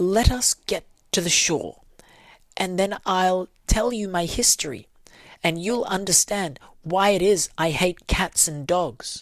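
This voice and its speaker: A put-on character voice, female-sounding and shaky, at medium pitch and a fairly slow pace. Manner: passionate, upset.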